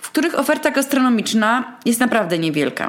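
A woman's fairly high pitch with very wide pitch swings. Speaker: podcast host and small eatery owner. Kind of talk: solo monologue. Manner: tense and slightly higher-pitched at the start.

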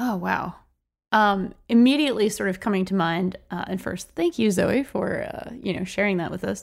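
A woman talks at a moderate pace with vocal fry. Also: medium pitch for a woman, ordinary pitch variation, very clean recording, silent background. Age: 30s. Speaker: podcast co-host. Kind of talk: casual chat.

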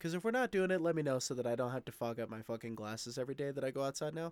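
A man at a very fast pace, his pitch swinging very widely. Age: 20s. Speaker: podcast host. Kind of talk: casual monologue. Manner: casual, filler-heavy.

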